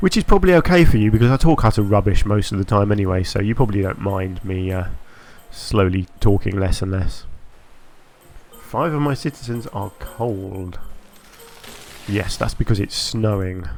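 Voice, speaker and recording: With music in the background, a man speaks at a moderate pace in a fairly low pitch with ordinary pitch variation, leaving long, frequent pauses. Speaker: gaming commentator. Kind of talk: let's play commentary. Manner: halting.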